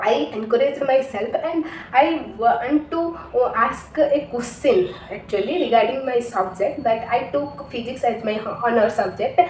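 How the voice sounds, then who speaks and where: A woman with an Odisha accent talks at a fairly slow pace in a high pitch with very wide pitch swings. The audio has audible room echo and noticeable background noise. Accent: Indian (Odia) English. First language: Odia. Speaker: English learner vlogger. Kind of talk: personal story. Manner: halting, many fillers and restarts.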